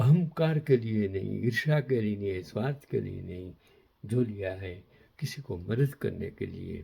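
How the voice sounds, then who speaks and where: A man with a medium pitch and a dark, mellow, somewhat breathy tone speaks with lively intonation and big swings in loudness. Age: 80s+. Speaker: commentator on history and current affairs. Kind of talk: moral talk to camera; reading aloud.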